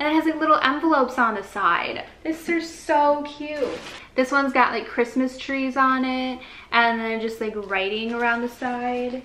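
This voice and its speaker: A woman with an American accent speaks in a raised, projected voice at a high pitch, moderate pace and ordinary pitch variation. Audible room echo and light background noise are present. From Michigan. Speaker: vlogger. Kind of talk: casual vlog chat. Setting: on location, out shopping. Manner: animated. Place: home room. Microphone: phone near.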